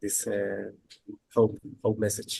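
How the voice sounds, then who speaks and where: This man speaks with a Spanish accent at a very slow pace. His pitch sits fairly low. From Bolivia. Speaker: solution-focused teacher and researcher. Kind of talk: casual chat. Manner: halting.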